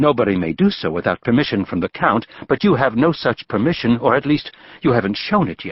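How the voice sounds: Here the voice is a natural reading voice.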